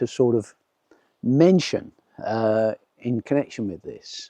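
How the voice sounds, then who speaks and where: With a southern English accent, a man speaks in a dark, mellow tone and lively intonation, with a dry, close sound with no echo. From southeast England. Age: 70s. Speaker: nature vlogger. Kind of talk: casual vlog monologue. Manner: halting, with repeated words and fillers.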